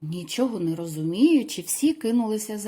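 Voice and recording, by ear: Someone reads aloud in a natural voice. The intonation is lively.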